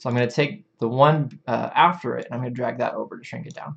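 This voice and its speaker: The man's voice sits at a medium pitch, with vocal fry and ordinary pitch variation. He mumbles at a very fast pace. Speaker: animation tutorial streamer. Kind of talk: live stream tutorial. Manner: mumbling; casual conversational.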